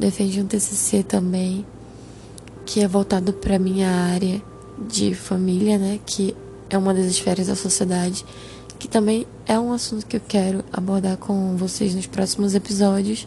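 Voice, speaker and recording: A woman's medium-pitched, monotone, flat delivery at a moderate pace, over noticeable background noise. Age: 20s. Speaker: podcast host. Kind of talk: personal testimony monologue.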